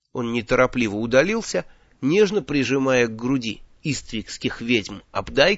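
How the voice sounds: With lively intonation, a natural reading voice delivers the text.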